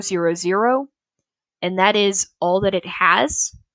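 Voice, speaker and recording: Against a quiet background, a woman with a plain, everyday voice speaks fairly slowly at a medium pitch with fairly even intonation, the sound dry and close with no echo. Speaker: game development tutor. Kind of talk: tutorial. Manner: frequent filler words.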